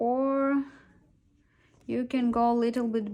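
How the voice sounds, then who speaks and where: A woman with a non-native accent, a fairly high pitch, a dark, mellow tone, fairly even intonation and a very slow pace. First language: not English. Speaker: crochet toy maker. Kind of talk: tutorial.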